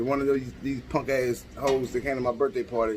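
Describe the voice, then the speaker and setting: A man speaking at a fairly quick pace. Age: 40s. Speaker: podcaster, military veteran. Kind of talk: casual rant. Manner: animated.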